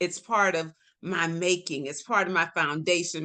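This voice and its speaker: This woman's tone is bright and sharp, her pitch fairly low. She speaks at a fairly slow pace. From Florida, Tampa. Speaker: health advocate. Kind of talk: casual chat.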